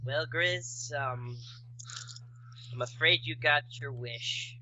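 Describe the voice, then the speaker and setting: Using a put-on character voice, a man talks at a very slow pace and medium pitch against clear background noise. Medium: actual play. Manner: hesitant, halting.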